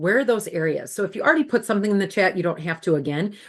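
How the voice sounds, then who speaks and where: Here a woman with a Wisconsin accent speaks at a medium pitch. Her intonation is lively against a quiet background. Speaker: former school administrator and workshop facilitator. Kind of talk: webinar presentation.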